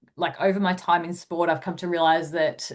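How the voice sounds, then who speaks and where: A woman with an Australian accent talks at a very fast pace. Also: quiet background. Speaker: sports dietitian. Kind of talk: webinar presentation.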